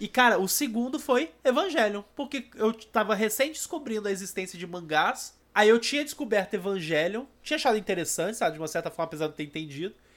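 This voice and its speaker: This man talks at a very fast pace with hardly any pauses. His pitch is high and swings very widely. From Rio de Janeiro and Goiânia, Brazil. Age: 30s. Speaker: anime podcaster. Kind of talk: casual chat.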